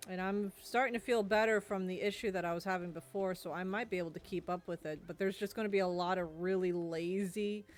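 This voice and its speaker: Hardly pausing, a woman speaks at a very fast pace. Her intonation stays fairly even. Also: medium pitch for a woman. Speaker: gaming streamer. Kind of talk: casual chat. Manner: monotone.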